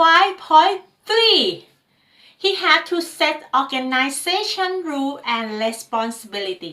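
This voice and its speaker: A woman with a non-native accent speaks very slowly in a raised, projected voice of extremely high pitch. Her tone is bright and sharp, and her pitch swings very widely. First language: not English. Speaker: ISO management trainer. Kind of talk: tutorial lecture.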